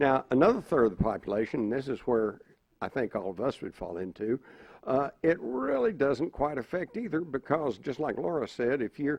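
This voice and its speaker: A man with a plain, everyday voice and an American accent speaks at medium pitch and a moderate pace, with lively intonation. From Texas. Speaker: conspiracy panelist. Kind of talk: panel discussion.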